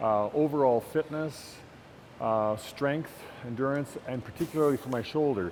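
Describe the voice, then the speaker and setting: This man speaks at a moderate pace in a medium pitch, with ordinary pitch variation. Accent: Canadian. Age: 60s. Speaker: retired teacher, gym client. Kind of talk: testimonial interview. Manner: halting, many fillers.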